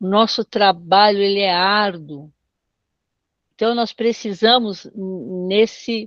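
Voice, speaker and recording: A woman speaks very slowly in a dry, close sound with no echo. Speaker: bible teacher. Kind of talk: online doctrine class.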